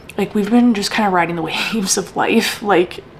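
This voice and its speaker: A woman with an American accent at a fairly quick pace, amid noticeable background noise. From Wisconsin. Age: 30s. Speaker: vlogger and healthcare worker. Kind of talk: casual vlog monologue.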